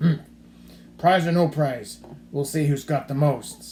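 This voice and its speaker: A man does a put-on character voice, fairly high in pitch, with fairly even intonation at a fairly slow pace. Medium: read story. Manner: gruff, stubborn.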